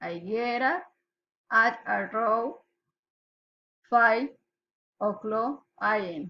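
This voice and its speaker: With a Colombian accent, a woman speaks very slowly with long, frequent pauses, her fairly high voice bright and sharp in tone. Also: ordinary pitch variation. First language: Spanish. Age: 20s. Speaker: pharmacy assistant. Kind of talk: student self-introduction recording. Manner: slow, read aloud.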